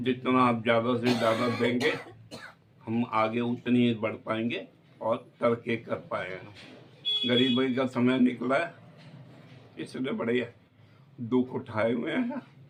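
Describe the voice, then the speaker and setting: A man's medium-pitched voice, flat and monotone, with long, frequent pauses and noticeable background noise. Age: 60s. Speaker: vlogger's father. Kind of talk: casual family vlog introduction. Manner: faltering, hard to understand.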